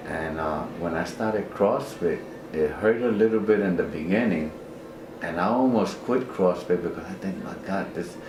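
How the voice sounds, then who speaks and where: A man's fairly low voice at a moderate pace, with ordinary pitch variation, audible room echo and noticeable background noise. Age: 60s. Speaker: CrossFit trainer, retired x-ray technician. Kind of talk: interview, personal story. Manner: halting, repeats words.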